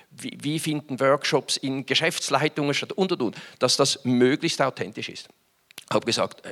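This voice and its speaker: His tone is bright and sharp, and the man's lively intonation comes through a dry, close sound with no echo. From Switzerland, Winterthur. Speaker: business executive. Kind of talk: conference talk. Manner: hesitant, many fillers.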